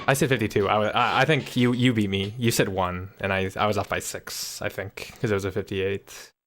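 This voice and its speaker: Fairly quick and nearly pause-free speech from a man with a fairly low pitch and fairly even intonation, on a very clean recording with a silent background. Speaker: video game streamer. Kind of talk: live gameplay commentary. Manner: fast.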